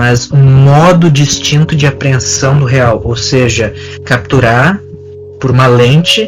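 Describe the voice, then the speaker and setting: A man speaks very slowly at a medium pitch with ordinary pitch variation, music playing in the background. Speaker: psychologist podcast host. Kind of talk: casual chat. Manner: halting.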